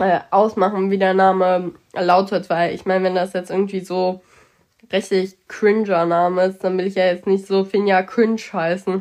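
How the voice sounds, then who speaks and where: A woman speaks at a moderate pace and medium pitch, in a monotone with flat intonation. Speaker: podcast co-host. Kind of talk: casual chat. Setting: train station.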